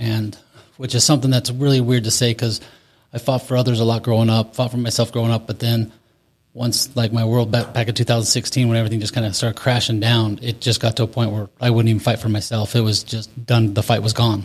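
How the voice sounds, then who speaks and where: With an American accent, a man talks at a very fast pace in a monotone, flat way, with medium pitch and a somewhat breathy voice, on a very clean recording with a silent background. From Utah. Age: 40s. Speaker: recovery coaching client. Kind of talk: testimony.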